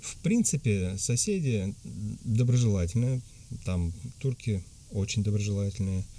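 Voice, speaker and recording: This man has a dark, mellow tone and speaks at a fairly slow pace. He leaves long, frequent pauses, and his pitch varies in an ordinary way. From Tatarstan, Russia. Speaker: emigrant interviewee. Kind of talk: interview. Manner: halting, many fillers.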